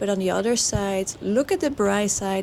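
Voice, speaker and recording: With a Dutch accent, a woman talks at medium pitch. She keeps a moderate pace. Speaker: horse trainer. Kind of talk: video commentary over training footage. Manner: halting, many fillers and restarts.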